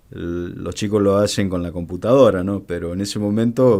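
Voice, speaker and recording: This man's voice is dark and mellow, and he moves along at a fairly quick pace. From Argentina, Mendoza. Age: 50s. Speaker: border police commander. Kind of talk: radio interview. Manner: halting, many fillers.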